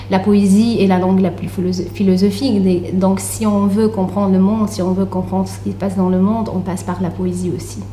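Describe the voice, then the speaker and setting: A woman at a fairly quick pace, amid noticeable background noise and audible room echo. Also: hardly any pauses. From Tunisia. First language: Arabic (speaking French). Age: young. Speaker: author and literature researcher. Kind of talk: radio interview. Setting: radio studio. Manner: hesitant, many fillers.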